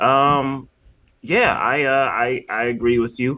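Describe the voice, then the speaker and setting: There is an American accent in this man's speech. He has a bright, sharp tone. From Michigan. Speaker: podcast host, film reviewer. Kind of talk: casual chat.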